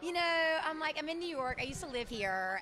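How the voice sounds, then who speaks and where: Amid noticeable background noise, a woman speaks in a raised, projected voice with a Southern accent. Her tone is animated and her pace fairly quick. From Mississippi. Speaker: actress and dancer. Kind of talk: red carpet interview. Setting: premiere event.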